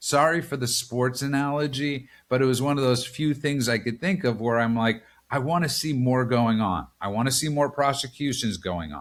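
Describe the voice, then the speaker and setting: This man has a New York accent and talks at a moderate pace and medium pitch with ordinary pitch variation. The recording is very clean, with a silent background. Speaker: political podcast host. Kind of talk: casual political discussion.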